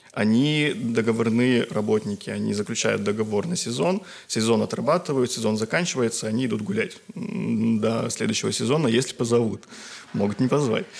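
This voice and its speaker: A man talks at a medium pitch, and noticeable background noise can be heard. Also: ordinary pitch variation, moderate pace. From Karelia, Russia. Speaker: musicologist, graduate student. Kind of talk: casual chat.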